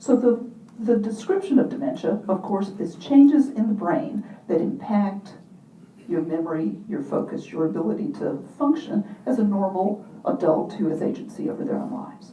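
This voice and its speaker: In a room with audible echo, a woman speaks at a medium pitch and a moderate pace with lively intonation. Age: 50s. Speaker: motivational speaker and mentor. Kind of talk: keynote talk.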